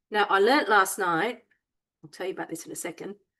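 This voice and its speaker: Her voice is high-pitched, with a bright, sharp tone. This woman's pitch swings very widely. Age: 60s. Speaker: cooking demonstrator. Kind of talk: cooking tutorial. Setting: home kitchen. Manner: casual, hesitant with fillers.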